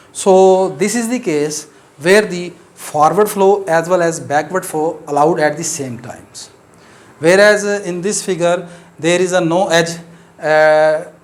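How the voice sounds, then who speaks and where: Fairly slow speech with a Pakistani accent, ordinary pitch variation and audible room echo. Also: man, long, frequent pauses. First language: Urdu. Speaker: mathematics teacher. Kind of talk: lecture. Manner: hesitant, many fillers.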